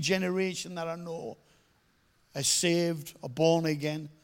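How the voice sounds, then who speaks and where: This is a man speaking with a Teesside accent. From northern England, Middlesbrough. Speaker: evangelist. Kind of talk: testimony.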